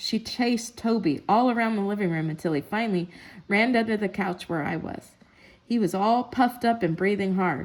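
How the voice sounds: Pitch shifts in an ordinary way. The voice is a natural reading voice.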